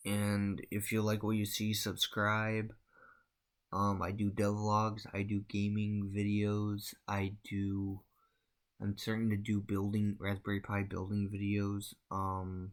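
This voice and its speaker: On a very clean recording with a silent background, a man mumbles at a very slow pace in a monotone, flat intonation at very even loudness. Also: fairly low pitch for a man. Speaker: game developer and gaming youtuber. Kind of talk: devlog tutorial. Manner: mumbling; soft-spoken.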